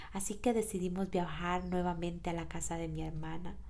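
A woman talks at a moderate pace in a somewhat breathy, dark, mellow tone. Room echo is audible. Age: 30s. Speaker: podcast host and personal coach. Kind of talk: reflective monologue.

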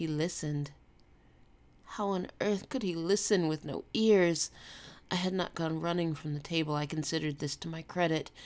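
A woman with an American accent, a normal speaking voice and a fairly low pitch. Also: fairly even intonation, moderate pace. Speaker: podcast host and fiction author. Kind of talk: horror audiobook narration, hushed and eerie, read aloud.

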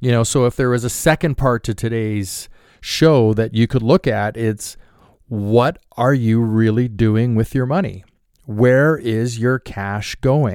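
In a very clean recording with a silent background, a man at medium pitch speaks fairly slowly with ordinary pitch variation. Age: 50s. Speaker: podcast host, financial services professional. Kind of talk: solo podcast monologue.

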